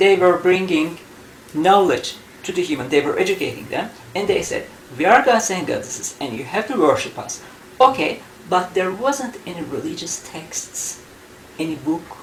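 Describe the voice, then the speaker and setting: Speech with a Turkish accent at a moderate pace, with long, frequent pauses, big swings in loudness, audible room echo, and noticeable background noise. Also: woman, medium pitch for a woman, lively intonation. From Turkey. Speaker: UFO researcher and author. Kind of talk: interview. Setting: in Istanbul, Turkey.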